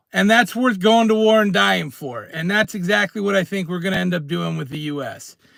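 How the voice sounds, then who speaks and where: Loud and animated, the voice has lively intonation on a very clean recording with a silent background. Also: man. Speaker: prepping and precious metals streamer. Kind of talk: live stream rant. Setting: in a car.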